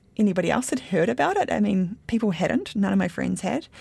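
A fairly quick pace with a New Zealand accent in a very clean recording with a silent background. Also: woman. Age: 30s. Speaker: interviewee sharing personal experience. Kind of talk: personal interview.

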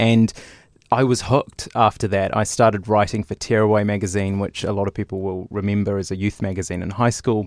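In a very clean recording with a silent background and a dry, close sound with no echo, a man with a New Zealand accent and a fairly low pitch talks at a fairly quick pace. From New Zealand, Lower Hutt. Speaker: television reporter. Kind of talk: interview. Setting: studio.

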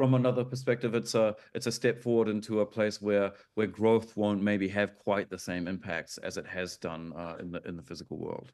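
Speaking with a New Zealand accent, a man talks at a fairly quick pace and fairly low pitch with ordinary pitch variation. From New Zealand, Auckland. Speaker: artist. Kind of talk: interview. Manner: hesitant, many fillers.

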